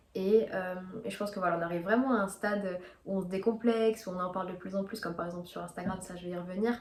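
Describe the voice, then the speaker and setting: Over noticeable background noise, a woman at medium pitch talks very fast with fairly even intonation and big swings in loudness. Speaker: video blogger. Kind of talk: casual monologue to camera. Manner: hesitant, many fillers.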